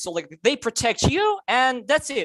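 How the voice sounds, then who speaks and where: The speaker has a non-native accent and talks at a fairly slow pace. The background is quiet. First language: not English. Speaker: Zoom participant asking a question. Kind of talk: Q&A question. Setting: video call. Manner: halting, many fillers.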